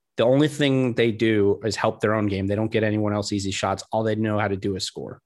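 Speaking at a fairly quick pace with hardly any pauses, a man with a fairly low pitch is heard against a quiet background. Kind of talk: casual sports banter. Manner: conversational, animated, rambling.

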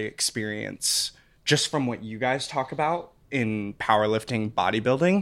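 A man's medium-pitched voice, a normal speaking voice, on a very clean recording with a silent background. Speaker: footwear product manager and lifter. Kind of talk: casual chat.

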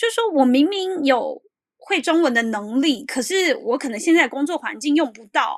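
A woman with a Taiwanese accent speaks at a moderate pace in a high pitch, with very wide pitch swings and big swings in loudness. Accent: Taiwanese Mandarin. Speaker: columnist living in Japan. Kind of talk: interview.

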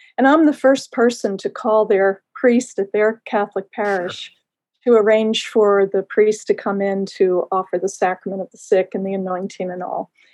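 In an unremarkable speaking voice, a woman with an American accent talks at a medium pitch and a moderate pace, her intonation fairly even but her loudness swinging widely, in a dry, close sound with no echo. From Baltimore, Maryland. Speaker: priest and hospice chaplain. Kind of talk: interview.

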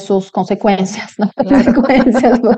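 This woman speaks with a Polish accent. Her tone is dark and mellow. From Poland. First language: Polish (speaking Spanish). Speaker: podcast host. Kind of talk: interview. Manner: hesitant, many fillers.

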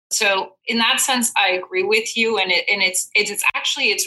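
A woman with a Belgian accent at a moderate pace. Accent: mild Belgian-accented English. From Belgium. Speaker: chief marketing officer. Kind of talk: interview. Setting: video call.

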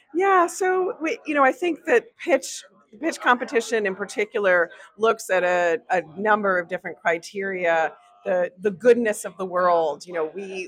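Over noticeable background noise, the words come at a moderate pace with ordinary pitch variation. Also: woman. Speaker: corporate innovation executive. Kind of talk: interview. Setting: festival lounge.

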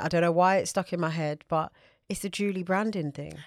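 In a very clean recording with a silent background, a woman with a British accent talks very fast at a medium pitch with fairly even intonation. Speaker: podcast co-host. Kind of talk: casual chat.

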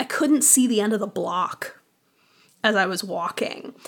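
In a bright, sharp tone, a woman with an American accent speaks at a moderate pace and a fairly high pitch. The recording is very clean, with a silent background. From Boston. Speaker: audio drama writer and theater artist. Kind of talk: casual interview chat.

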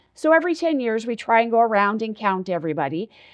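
Very fast and full of lively intonation, a woman with an American accent talks at a fairly high pitch. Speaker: president of a redistricting advocacy group. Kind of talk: interview.

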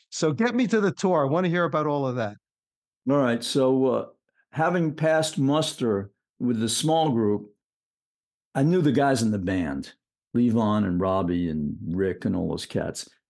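With an American accent, a man speaks at a moderate pace in a medium pitch. His pitch swings very widely, and he leaves long, frequent pauses. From New York City. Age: 70s. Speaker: professional musician, bassist. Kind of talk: casual interview chat.

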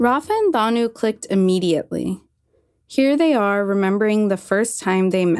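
An American accent at a moderate pace, with ordinary pitch variation, very even loudness and music in the background. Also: woman, medium pitch for a woman. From US Northeast (Maine). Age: 20s. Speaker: writer and climate communicator. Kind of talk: scripted narration.

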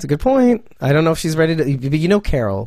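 With a dark, mellow tone and lively intonation, a man speaks at a very fast pace in a fairly high pitch. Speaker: podcast host. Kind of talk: casual chat. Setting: video call. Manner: animated.

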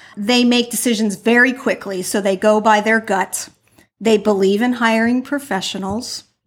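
This woman has a normal speaking voice, fairly high in pitch, with fairly even intonation and a moderate pace. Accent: American. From New Jersey. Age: 50s. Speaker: interior design business coach. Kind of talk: interview.

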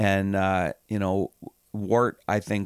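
Speech comes at a very slow pace, with a dry, close sound with no echo on a very clean recording with a silent background. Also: man. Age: 60s. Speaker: hockey team general manager and owner. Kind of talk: casual interview.

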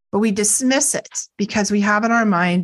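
A somewhat breathy woman with an American accent, at medium pitch and a moderate pace, with ordinary pitch variation, against a quiet background. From US Northeast, near Boston, Massachusetts. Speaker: psychic counselor and Reiki teacher. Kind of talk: interview.

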